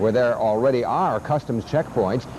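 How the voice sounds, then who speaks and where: There is noticeable background noise behind this man. His intonation is lively. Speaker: local TV news anchor. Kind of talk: 1980s local TV newscast anchor read.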